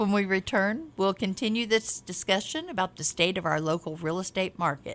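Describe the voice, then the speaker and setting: A woman's ordinary speaking voice with an American accent, medium in pitch, lively in intonation and moderate in pace. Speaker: real estate agent and radio host. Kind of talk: radio talk show, conversational but polished. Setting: radio studio, live broadcast.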